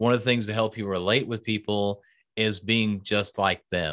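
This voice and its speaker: Here is a man with a normal speaking voice at a fairly low pitch. He talks at a moderate pace on a very clean recording with a silent background. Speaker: speaking coach. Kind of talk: casual interview chat.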